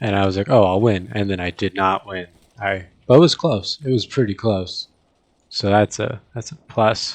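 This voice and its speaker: Soft-spoken and fairly low in pitch, a man talks at a moderate pace with ordinary pitch variation in a dry, close sound with no echo and a quiet background. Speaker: gaming youtuber. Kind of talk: gameplay commentary. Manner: hesitant, filler-heavy.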